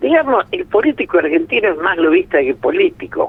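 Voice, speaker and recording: Talking at a moderate pace, a man lets his pitch swing very widely. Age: 80s+. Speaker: political analyst. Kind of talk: radio interview. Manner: animated.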